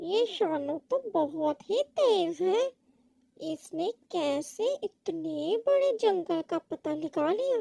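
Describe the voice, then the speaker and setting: This cartoonish character voice sits at an extremely high pitch. The delivery moves at a very slow pace. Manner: self-satisfied, muttering to himself.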